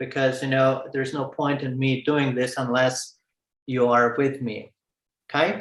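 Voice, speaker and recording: In a room with audible echo, a man speaks at a fairly slow pace in a monotone, flat intonation. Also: medium pitch for a man. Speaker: lecturer at a summer school. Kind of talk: lecture. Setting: video call, sharing screen online. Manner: halting, many fillers and repetitions.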